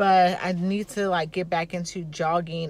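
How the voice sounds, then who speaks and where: A woman with an American accent speaks in a fairly low, somewhat breathy voice, recorded dry with no echo. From Baltimore, Maryland. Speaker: army instructor and vlogger; instructor. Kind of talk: casual vlog; classroom instruction. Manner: animated. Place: car. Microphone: phone near.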